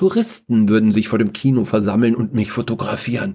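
A man speaks with a dark, mellow tone that is somewhat breathy. His pitch moves in very wide swings. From Upper Bavaria. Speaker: podcast host and author. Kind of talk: reading aloud a short story.

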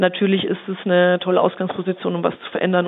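A woman speaks at a moderate pace in a normal speaking voice. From Upper Franconia, Bavaria (Germany). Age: 30s. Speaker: member of parliament. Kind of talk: interview.

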